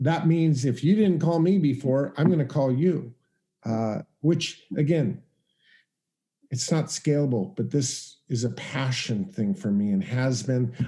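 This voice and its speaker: A man with a dark, mellow tone and a somewhat breathy sound talks fairly slowly, his intonation lively. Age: 60s. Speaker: real estate investor and educator. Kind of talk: interview. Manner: halting.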